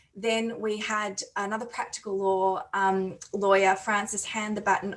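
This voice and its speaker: In an Australian accent, a woman talks with monotone, flat intonation. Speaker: conference chair. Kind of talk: conference plenary speech. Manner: hesitant, many fillers.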